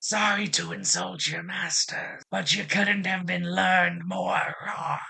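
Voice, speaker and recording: A man uses a put-on character voice that is raspy. He speaks at a fairly slow pace. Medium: read story. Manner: cheerful, folksy.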